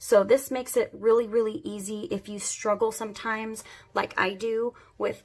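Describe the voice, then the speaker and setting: A woman at a moderate pace over music in the background. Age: 30s. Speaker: beauty YouTuber. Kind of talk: makeup tutorial talk to camera. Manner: friendly, upbeat.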